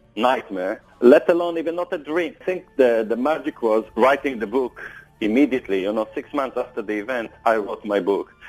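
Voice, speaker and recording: An ordinary speaking voice from a man, mid-range in pitch, with normal pitch movement and a middling speed. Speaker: survivor telling his story. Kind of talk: recounting a story in interview.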